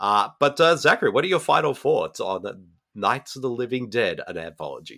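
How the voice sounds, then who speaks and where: This man has an Australian accent. He talks at a fairly quick clip. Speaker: podcast host. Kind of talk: casual interview chat.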